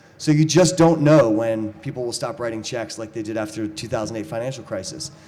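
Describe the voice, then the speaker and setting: There is audible room echo as a man speaks at a fairly quick pace. His pitch is medium, with ordinary variation. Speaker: startup speaker at panel event. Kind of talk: conference presentation with slides. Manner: fast.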